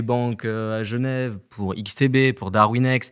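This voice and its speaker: Fairly even intonation against a quiet background. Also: man. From France, Annecy (Haute-Savoie); France. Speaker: independent trader, former broker; podcast guest. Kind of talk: casual chat. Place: studio. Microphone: studio mic.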